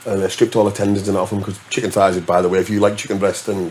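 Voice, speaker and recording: A man with a fairly low voice and a northern English accent, with noticeable background noise. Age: 40s. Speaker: DJ. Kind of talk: casual chat.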